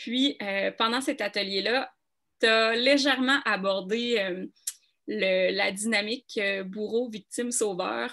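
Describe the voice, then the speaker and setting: A woman speaks in a Quebec accent at a very slow pace, her tone bright and sharp. Her pitch is fairly high with ordinary variation. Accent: Québécois. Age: 30s. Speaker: coaching client. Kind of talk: testimony.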